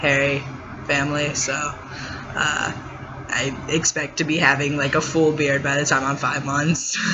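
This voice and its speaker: With noticeable background noise and audible room echo, a man speaks at a fairly slow pace in a monotone, flat intonation. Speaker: vlogger. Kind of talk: personal vlog. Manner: hesitant, many fillers.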